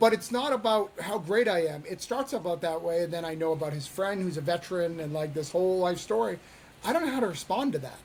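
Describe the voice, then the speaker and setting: Against noticeable background noise, a man talks at a very fast pace with a high pitch and lively intonation. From New Hampshire. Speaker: indie comic creator and publisher. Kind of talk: interview. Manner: halting, many repetitions.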